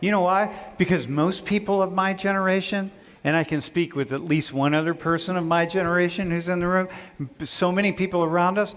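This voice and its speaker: This man has a high pitch and an American accent. He speaks at a fairly quick pace with very even loudness. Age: 60s. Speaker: sociology professor. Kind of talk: casual chat. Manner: animated.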